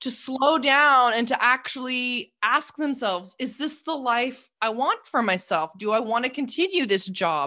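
Set against a quiet background, the speaker has a Canadian accent and a bright, sharp tone, talking at a fairly slow pace with lively intonation and hardly any pauses. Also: woman, high pitch for a woman. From Canada, Toronto suburbs. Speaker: life coach. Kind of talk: interview.

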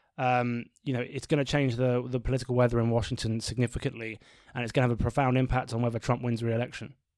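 Speaking with a British accent, a man talks at a very fast pace with medium pitch and fairly even intonation. The recording is very clean, with a silent background. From Britain. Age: 30s. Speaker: podcast host, pollster. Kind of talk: casual political discussion.

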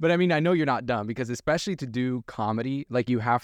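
A man with a plain, everyday voice at a medium pitch and ordinary pitch variation, in a dry, close sound with no echo against a quiet background. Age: 20s. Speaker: podcast host. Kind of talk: casual chat. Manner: laughs often.

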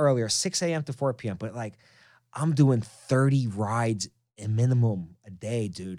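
Animated, lively-intoned delivery in a New York accent, on a very clean recording with a silent background. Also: man. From New York City (Queens). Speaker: podcast host. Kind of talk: casual chat. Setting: studio.

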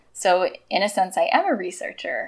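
A woman's ordinary speaking voice at medium pitch and a moderate pace. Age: 30s. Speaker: science curriculum developer. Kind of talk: interview.

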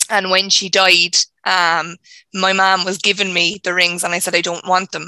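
An Irish-accented woman's bright, sharp voice in a monotone, flat delivery, dry and close with no echo, on a very clean recording with a silent background. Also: medium pitch for a woman, moderate pace. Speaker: audience member receiving reading.

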